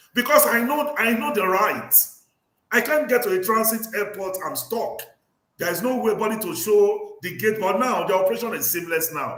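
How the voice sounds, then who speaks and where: Audible room echo surrounds a man with high pitch. He uses lively intonation at a moderate pace. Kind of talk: livestream discussion. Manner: animated.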